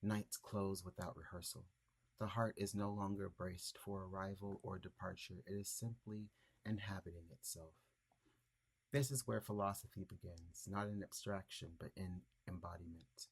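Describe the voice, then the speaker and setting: A man's somewhat breathy, fairly low voice at a moderate pace, with fairly even intonation. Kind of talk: reflective essay reading.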